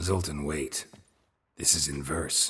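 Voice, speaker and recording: A man puts on a character voice that is raspy and very deep, with very low pitch. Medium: video game. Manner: terse, low, deadpan.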